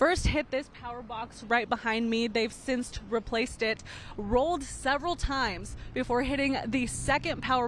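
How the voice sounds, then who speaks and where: There is vocal fry in this woman's fairly high-pitched voice as she speaks at a moderate pace with ordinary pitch variation. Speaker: bilingual TV reporter and anchor. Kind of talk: English TV news reporter stand-up and package narration.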